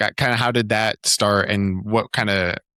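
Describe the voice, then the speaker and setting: Speaking with a West Coast accent, a man has a fairly low pitch and a bright, sharp tone, recorded with a dry, close sound and no echo. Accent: American West Coast. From US Pacific Northwest, Oregon. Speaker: podcast host. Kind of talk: casual interview chat.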